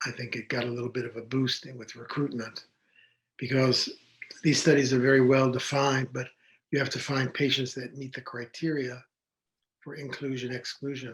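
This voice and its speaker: A man with a medium-pitched, somewhat breathy voice talks at a moderate pace in a flat, monotone way. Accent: American. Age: 70s. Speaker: physician. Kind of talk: interview.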